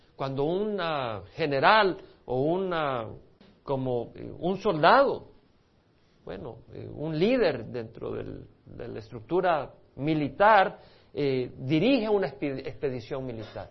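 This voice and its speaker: A man speaks at a very slow pace with long, frequent pauses. His fairly high pitch has lively intonation and big swings in loudness. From El Salvador. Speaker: pastor. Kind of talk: sermon.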